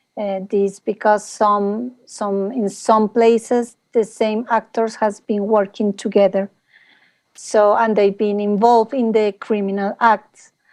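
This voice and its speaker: At a very slow pace, a woman with a Spanish accent and a fairly high voice speaks in a monotone, flat intonation. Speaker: panelist. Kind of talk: panel discussion. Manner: halting.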